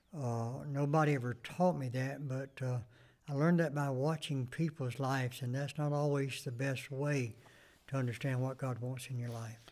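Very clean with a silent background, the recording has a man with a Southern US accent speaking at medium pitch and a moderate pace with fairly even intonation. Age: 70s. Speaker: pastor and Vietnam veteran. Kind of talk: interview. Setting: church. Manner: brief answers.

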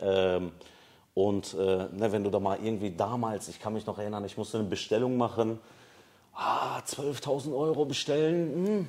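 The delivery moves at a moderate speed in an ordinary speaking voice. Its intonation sounds lively. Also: man, fairly low pitch for a man. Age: 30s. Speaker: business founder. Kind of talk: casual interview. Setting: studio with camera.

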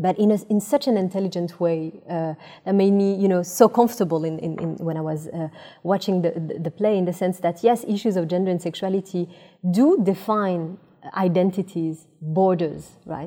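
A plain, everyday voice from a woman at medium pitch, moderate pace and ordinary pitch variation. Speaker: sociologist. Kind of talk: panel discussion. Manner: frequent filler uh.

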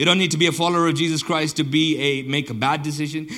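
The room echo is audible as a man speaks very fast. His voice is fairly high, with a bright, sharp tone. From southern Botswana. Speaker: pastor. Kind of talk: sermon.

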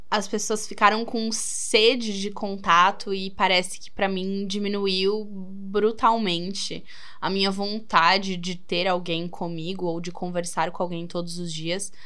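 With audible room echo, a woman's bright, sharp voice comes out monotone and flat at a very slow pace. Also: medium pitch for a woman. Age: 20s. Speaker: podcast host. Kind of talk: casual solo monologue. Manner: casual, conversational.

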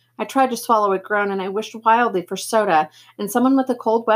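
This is plain reading aloud. The pitch varies an ordinary amount.

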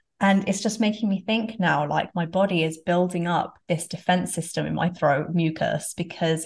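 Somewhat breathy woman's voice, fairly low in pitch, with fairly even intonation at a moderate pace against a quiet background. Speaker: podcast host. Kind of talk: casual interview.

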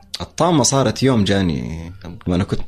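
Very deep and low, a man's voice carries vocal fry and very wide pitch swings at a moderate pace. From Hejaz, Saudi Arabia. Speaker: entrepreneur and marketer. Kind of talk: casual interview.

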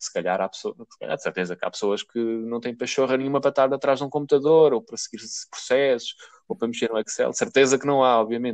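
Very fast and at a medium pitch, a man speaks with ordinary pitch variation in a dry, close recording with no echo. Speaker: podcast co-host. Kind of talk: casual chat.

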